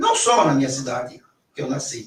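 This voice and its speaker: His intonation is lively throughout. The man keeps a moderate pace. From Brazil, São Paulo (Vila Maria). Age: 60s. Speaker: teacher and political pre-candidate. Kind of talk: radio interview. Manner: halting.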